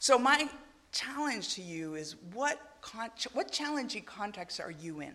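A woman talks at a fairly slow pace with a fairly high pitch and a bright, sharp tone. Her pitch swings very widely, and there is vocal fry. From Argentina. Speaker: missionary preacher. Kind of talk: sermon. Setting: church.

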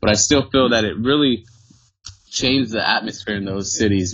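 Here is a plain, everyday voice in an American accent. Its intonation stays fairly even at a moderate pace. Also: man. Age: 20s. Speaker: former band member, church volunteer. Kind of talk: casual chat. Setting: remote call.

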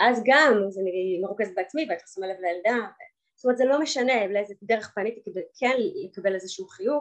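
With a plain, everyday voice, a woman speaks in a medium pitch, using ordinary pitch variation. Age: 30s. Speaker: divorced mother sharing her story. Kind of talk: personal testimony.

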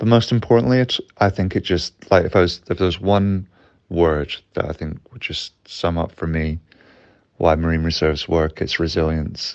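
Someone with a Glasgow accent speaks at a moderate pace, with ordinary pitch variation. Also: man, very deep, low pitch for a man. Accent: Scottish (Glasgow). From West Coast of Scotland. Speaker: underwater cameraman. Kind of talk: interview. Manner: hesitant, filler-heavy.

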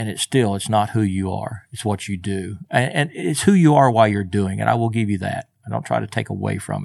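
In an ordinary speaking voice, a man with an American accent talks at a fairly low pitch with ordinary pitch variation, in a very clean recording with a silent background. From Oklahoma, US. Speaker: retired firefighter. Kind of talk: interview testimony. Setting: studio.

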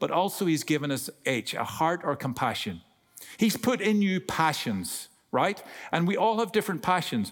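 A man with an Irish accent, high in pitch, lively intonation, very even loudness and moderate pace. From Ireland. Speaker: guest preacher. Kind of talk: sermon. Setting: church. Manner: humorous, talkative.

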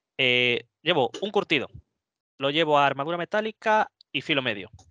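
Recorded dry and close with no echo against a quiet background, a man with an ordinary speaking voice talks at a fairly slow pace with lively intonation. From Spain, Madrid (Móstoles). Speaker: wargames tournament player. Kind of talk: casual chat.

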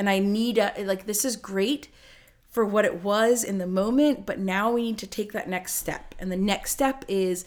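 A plain, everyday voice with an American accent comes through at a moderate pace with ordinary pitch variation, in a very clean recording with a silent background. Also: woman. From Ohio and New Jersey, US. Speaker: former gymnast and college rower. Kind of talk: casual chat.

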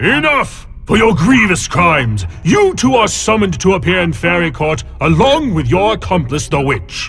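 A man shouts in a high-pitched, put-on character voice with hardly any pauses. Clear background noise runs underneath. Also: moderate pace. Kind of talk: archaic pompous speech.

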